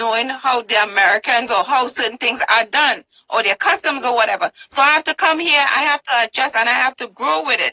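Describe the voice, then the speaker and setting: A woman speaks in a raised, projected voice with an animated tone, a fairly quick pace and very wide pitch swings, the sound dry and close with no echo. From Trinidad and Tobago. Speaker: talk show host, interviewee. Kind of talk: interview.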